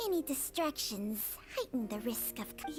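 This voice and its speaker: A woman puts on a cartoonish character voice, fairly high in pitch. She keeps a moderate pace over clear background noise. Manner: firm.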